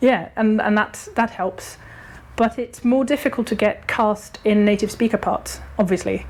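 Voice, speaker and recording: With vocal fry, a woman speaks at a fairly high pitch and a fairly slow pace with fairly even intonation. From Germany. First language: German. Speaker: actor and director. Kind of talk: casual interview chat. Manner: hesitant, many fillers and restarts.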